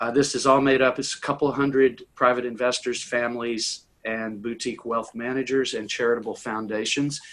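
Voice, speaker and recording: Monotone, flat intonation and hardly any pauses mark this fairly quick speech in an American accent, recorded very clean against a silent background. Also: man, medium pitch for a man. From US South, Tennessee. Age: 60s. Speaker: impact investor and author. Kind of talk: conversational interview. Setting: conference call.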